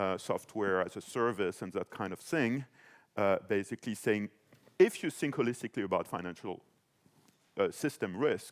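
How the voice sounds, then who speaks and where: Recorded dry and close with no echo, a man in a French accent speaks at a moderate pace and medium pitch, with ordinary pitch variation and long, frequent pauses. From France. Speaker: panelist, financial policy expert. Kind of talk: panel discussion. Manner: hesitant, many fillers.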